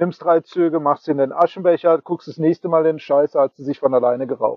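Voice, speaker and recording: At a moderate pace, a man speaks in a plain, everyday voice that sits fairly high. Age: 40s. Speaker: podcast guest, radio show co-host. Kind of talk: casual chat. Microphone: choppy internet connection.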